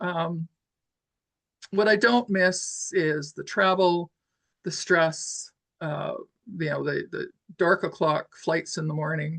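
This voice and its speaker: A woman speaks very slowly at a fairly low pitch, leaving long, frequent pauses. Her pitch varies in an ordinary way, and the sound is dry and close with no echo. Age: 70s. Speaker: professional handweaver. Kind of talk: interview conversation. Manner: halting, many repeated words and fillers.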